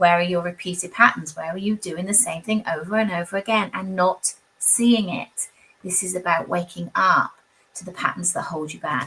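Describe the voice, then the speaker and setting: Fairly even intonation marks a woman's medium-pitched speech. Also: big swings in loudness. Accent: British. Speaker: tarot reader. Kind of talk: live tarot reading. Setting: livestream. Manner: fast.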